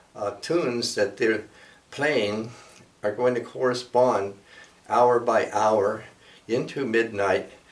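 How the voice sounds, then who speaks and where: A very slow-paced man's voice, medium in pitch, with an American accent. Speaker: storyteller and cultural presenter. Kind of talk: casual talk show explanation. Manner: halting with fillers.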